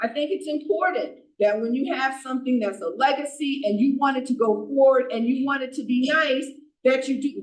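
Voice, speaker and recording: A loud woman speaks at a fairly quick pace with a high pitch and ordinary pitch variation. Room echo is audible. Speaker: borough council member. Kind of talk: council meeting debate.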